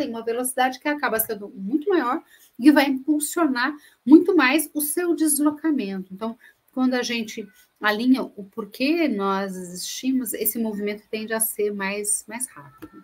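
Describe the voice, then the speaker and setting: A woman with a high pitch speaks at a moderate pace, her intonation lively and her loudness swinging widely. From Minas Gerais, Brazil. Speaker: speaker on corporate sustainability. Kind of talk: webinar presentation. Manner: hesitant, many fillers.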